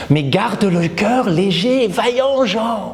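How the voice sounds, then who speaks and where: A man's put-on character voice, high in pitch, at a fairly slow pace. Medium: solo performance. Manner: breathy.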